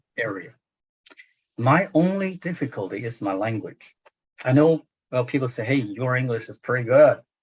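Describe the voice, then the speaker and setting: Somewhat breathy and at a medium pitch, a man speaks at a moderate pace with lively intonation, big swings in loudness, and long, frequent pauses. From China. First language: Chinese. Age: 60s. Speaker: literary translator and professor. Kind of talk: book club discussion. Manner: halting, many fillers.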